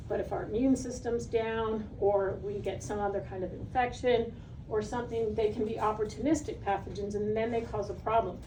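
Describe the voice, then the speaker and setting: There is audible room echo and noticeable background noise. A woman talks with fairly even intonation at a fairly high pitch. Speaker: pet nutrition educator. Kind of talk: seminar talk. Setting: live seminar with audience. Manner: fast.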